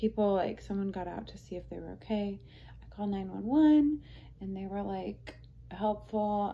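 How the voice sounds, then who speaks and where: At a moderate pace, a woman talks with light background noise behind her. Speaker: vlogger. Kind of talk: casual vlog chat. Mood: relaxed retelling of stressful event. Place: home room.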